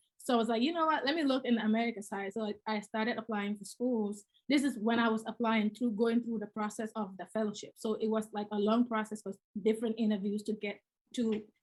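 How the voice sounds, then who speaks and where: Somewhat breathy, a woman with a Gambian accent talks at a very fast pace and a fairly high pitch. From The Gambia, West Africa. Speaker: real estate investor. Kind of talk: interview. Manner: halting.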